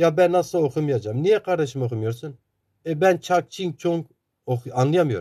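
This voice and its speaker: In an Eastern Anatolian accent, a man speaks at a moderate pace and a fairly high pitch with a dark, mellow tone. His pitch varies in an ordinary way, and the background is quiet. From eastern Turkey, Sarcan (Zaza area). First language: Zazaki (speaking Turkish). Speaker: Zaza activist and author. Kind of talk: interview talk.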